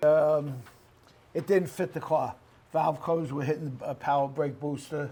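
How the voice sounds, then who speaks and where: A man with a fairly high pitch speaks somewhat breathily in a monotone, flat intonation. His pace is moderate, broken by long, frequent pauses. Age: 70s. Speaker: car seller. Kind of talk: casual chat. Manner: halting, many fillers.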